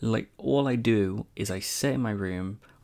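This man has an English accent. His pitch is fairly low, with ordinary variation. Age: 20s. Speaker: podcast host. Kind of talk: casual monologue. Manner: hesitant.

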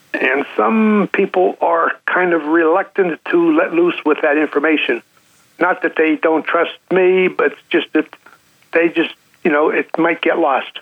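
A man speaks fairly slowly at a high pitch, with ordinary pitch variation. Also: very even loudness. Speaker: caller. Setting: phone call. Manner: halting.

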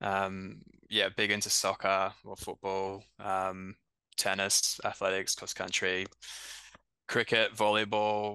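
Against a quiet background, a man's bright, sharp tone comes at a fairly low pitch, very slow pace and monotone, flat intonation. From Brisbane, Australia. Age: 30s. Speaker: runner. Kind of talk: casual chat.

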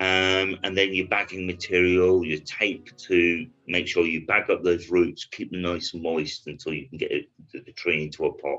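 With a British accent, a man speaks in a very deep, low voice and a monotone, flat delivery. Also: moderate pace. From Britain. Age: 50s. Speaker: bonsai artist and yamadori collector. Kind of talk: casual interview chat.

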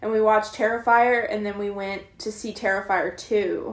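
A woman talks at a fairly slow pace with a fairly high pitch. It is a normal speaking voice. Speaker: podcast co-host. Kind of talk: casual chat about movies.

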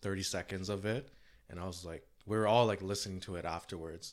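A man uses a normal speaking voice with a fairly low pitch and fairly even intonation, at a moderate pace. The recording is very clean, with a silent background. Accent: Canadian. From Canada (Toronto). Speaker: entrepreneur and rock musician. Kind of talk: casual interview.

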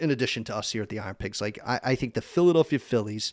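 The speech comes at a very fast pace. Its pitch varies in an ordinary way. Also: man, very clean recording, silent background. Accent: American. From eastern Pennsylvania (Easton). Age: 30s. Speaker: sports broadcaster. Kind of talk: casual chat. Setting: studio.

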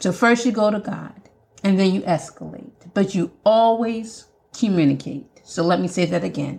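This woman's voice has a medium pitch and some vocal fry. She keeps a moderate pace with ordinary pitch variation. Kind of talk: solo podcast monologue, faith-based advice. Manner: animated.

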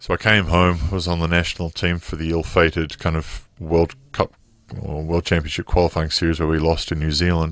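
Talking at a fairly quick pace, a man with an Australian accent uses a very deep, low pitch and monotone, flat intonation. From Melbourne, Australia. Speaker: former professional basketball player. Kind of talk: interview.

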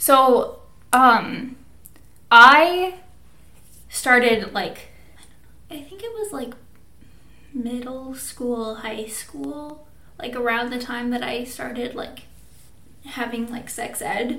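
A woman with an American accent and a high pitch, very slow pace, long frequent pauses and big swings in loudness, amid audible room echo and noticeable background noise. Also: ordinary pitch variation. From Minnesota, US Midwest. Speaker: podcast co-host. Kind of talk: casual chat; scripted outro.

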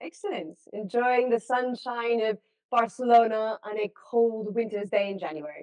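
A woman with an American accent talks at a moderate pace in a fairly high pitch with ordinary pitch variation. The sound is dry and close, with no echo. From US West Coast, Los Angeles. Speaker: sports journalist. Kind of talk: interview.

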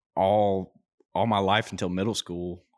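A man with an Alabama accent speaks at a fairly low pitch and a moderate pace with monotone, flat intonation, on a very clean recording with a silent background and dry, close sound with no echo. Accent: Southern US (Alabama). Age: 20s. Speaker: podcast co-host, construction worker. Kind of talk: casual chat.

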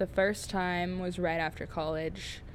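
A woman speaks in a plain, everyday voice at a fairly low pitch. Her intonation stays fairly even at a moderate pace. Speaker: podcast host, LGBTQ organization worker. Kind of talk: casual chat, podcast conversation.

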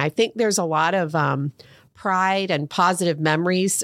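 In an American accent, a woman with an ordinary speaking voice and medium pitch talks at a moderate pace, the sound dry and close with no echo. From Ohio (Fairborn). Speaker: school public relations director. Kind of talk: interview.

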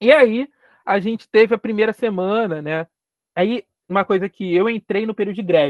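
A man with a Carioca accent speaks at a high pitch. His pace is moderate, with ordinary pitch variation. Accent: carioca Brazilian Portuguese. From Rio de Janeiro, Brazil. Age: 20s. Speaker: geography lecturer and doctoral student. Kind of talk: interview conversation.

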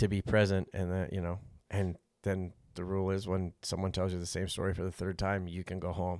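On a very clean recording with a silent background, a man with an American accent and a very deep, low pitch talks at a fairly quick pace in monotone, flat intonation. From Montana. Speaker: podcast guest. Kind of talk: casual chat. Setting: fishing cabin.

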